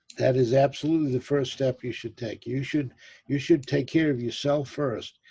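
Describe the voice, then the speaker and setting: A man speaks at a medium pitch with a dark, mellow tone. His voice is somewhat breathy, with monotone, flat intonation. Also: moderate pace. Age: 70s. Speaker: business webinar presenter. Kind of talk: webinar Q&A.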